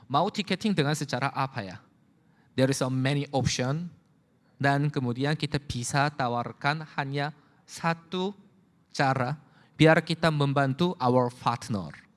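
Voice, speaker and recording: At a fairly slow pace, a man speaks in a fairly high-pitched voice. The recording is very clean, with a silent background. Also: ordinary pitch variation. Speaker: company executive presenter. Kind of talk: corporate presentation. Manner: halting.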